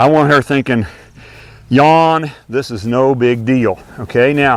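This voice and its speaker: A man's medium-pitched voice moves at a very slow pace, its pitch varying in an ordinary way. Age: 60s. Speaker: horse trainer. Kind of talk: tutorial. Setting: outdoors. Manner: casual.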